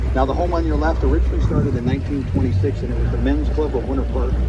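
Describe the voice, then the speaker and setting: A man's very fast speech against loud background noise. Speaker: tour boat guide. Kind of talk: tour guide commentary. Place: boat.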